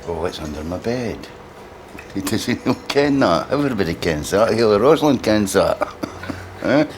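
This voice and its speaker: Against noticeable background noise, a man with a Lothian accent and medium pitch talks at a moderate pace, using very wide pitch swings and long, frequent pauses. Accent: Scottish (Lothian). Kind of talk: casual chat.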